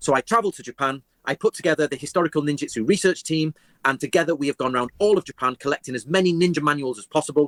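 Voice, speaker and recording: A man with an English accent talks at a very fast pace and a fairly high pitch, with lively intonation and a dry, close sound with no echo. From England. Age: 40s. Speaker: historian. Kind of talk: interview.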